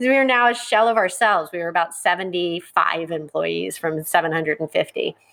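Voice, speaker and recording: With a normal speaking voice, a woman talks at a fairly quick pace and fairly low pitch, her intonation lively and hardly any pauses between words. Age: 50s. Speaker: company founder and CEO. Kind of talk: interview.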